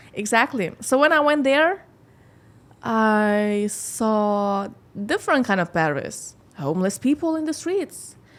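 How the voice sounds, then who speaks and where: A woman speaks at a fairly slow pace with very wide pitch swings, on a very clean recording with a silent background. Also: fairly high pitch for a woman. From Lithuania. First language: Lithuanian. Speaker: model and singer. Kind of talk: podcast interview. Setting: studio. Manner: halting.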